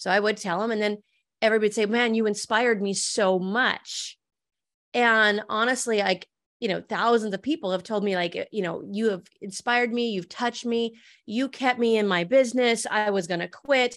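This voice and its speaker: At a moderate pace, a woman with an American accent and an unremarkable speaking voice keeps a fairly even intonation. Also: fairly high pitch for a woman, quiet background. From Montana, US. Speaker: entrepreneur and author. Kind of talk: interview.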